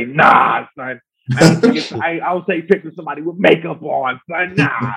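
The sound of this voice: A man performs a put-on character voice that is gravelly and fairly high in pitch. He keeps a moderate pace, with big swings in loudness.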